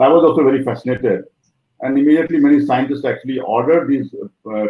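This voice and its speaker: Speaking at a fairly quick pace, a man with an Indian accent shows ordinary pitch variation. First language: Maithili. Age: 60s. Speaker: professor. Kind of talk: life story interview. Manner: hesitant, many fillers.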